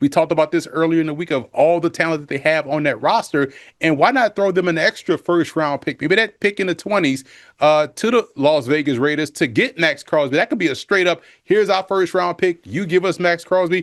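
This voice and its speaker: In a New Orleans accent, a man speaks with a high pitch, ordinary pitch variation and an animated tone at a fairly quick pace. The sound is dry and close with no echo, over a quiet background. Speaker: football analyst. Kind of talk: TV sports analysis.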